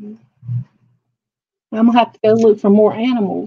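Her voice is medium in pitch with a slightly husky edge, and this woman keeps her intonation fairly even. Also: moderate pace.

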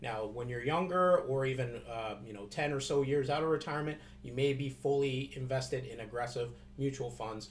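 A somewhat breathy man with a Canadian accent, ordinary pitch variation, big swings in loudness and a moderate pace over light background noise. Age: 30s. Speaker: financial advisor vlogger. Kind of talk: casual video tutorial. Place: office. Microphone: webcam.

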